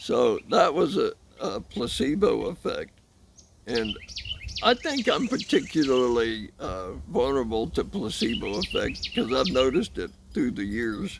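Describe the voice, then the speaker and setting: A man talks fairly slowly, with long pauses coming often. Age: 60s. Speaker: vlogger talking about chronic pain. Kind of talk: casual monologue. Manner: halting, with many fillers and repeats.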